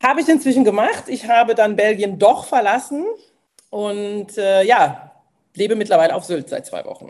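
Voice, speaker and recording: Her pitch is fairly high and varies in an ordinary way as this woman speaks at a moderate pace, her loudness swinging widely. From Mosel region, Germany. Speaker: former civil servant, aspiring founder. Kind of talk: casual interview chat. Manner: hesitant, many fillers.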